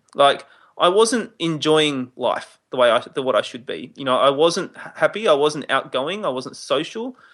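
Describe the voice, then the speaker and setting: A man with an Australian accent and a fairly high pitch, against a quiet background. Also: moderate pace. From Adelaide, Australia. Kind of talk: casual interview chat.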